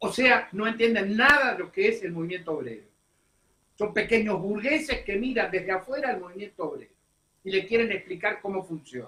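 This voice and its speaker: A high-pitched man's raised, projected voice, animated and bright and sharp in tone, at a fairly quick pace with ordinary pitch variation. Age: 70s. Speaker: political commentator. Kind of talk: radio interview. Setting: radio studio.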